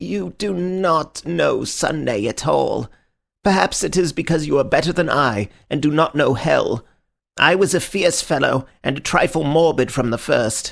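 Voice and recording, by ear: Using a put-on character voice, a man sounds strained at a fairly high pitch, moving at a moderate pace with lively intonation.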